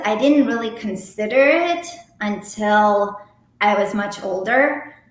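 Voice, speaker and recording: Speaking very slowly, a woman has a slight Russian accent and a fairly high pitch. Room echo is audible. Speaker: romance novelist. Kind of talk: interview. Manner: casual, many fillers.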